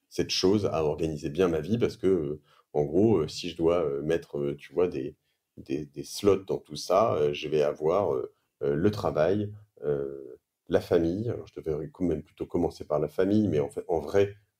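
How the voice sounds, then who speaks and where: Speaking at a fairly slow pace, a man has a very deep, low voice with a dark, mellow tone and ordinary pitch variation. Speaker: entrepreneur and podcaster. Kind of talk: interview answer. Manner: casual, hesitant.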